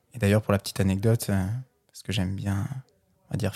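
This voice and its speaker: A man with a fairly low pitch and a dark, mellow, somewhat breathy tone speaks at a fairly quick pace with fairly even intonation, in a dry, close sound with no echo. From Brittany, France. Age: 20s. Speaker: podcast guest, clothing brand founder. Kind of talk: casual interview.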